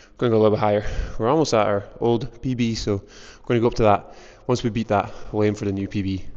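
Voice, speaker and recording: A man with a fairly low pitch talks at a fairly quick pace, his intonation fairly even. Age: 30s. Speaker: athletic coach. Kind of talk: casual training vlog. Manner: casual, filler-heavy.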